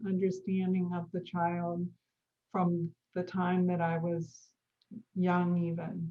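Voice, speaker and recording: A woman's somewhat breathy, dark, mellow voice at medium pitch and a very slow pace. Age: 60s. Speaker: Montessori educator and midwife. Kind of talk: interview conversation.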